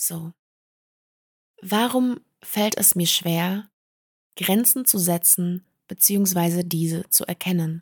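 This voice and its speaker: A woman's somewhat breathy voice at a very slow pace, with long, frequent pauses and a dry, close sound free of echo. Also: medium pitch for a woman, ordinary pitch variation. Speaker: podcast host. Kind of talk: personal testimony monologue.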